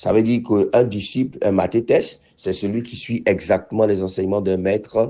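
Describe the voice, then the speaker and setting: A man talks at a moderate pace, his fairly low voice dark and mellow in tone. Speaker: pastor. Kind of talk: sermon. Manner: hesitant, many fillers and repetitions.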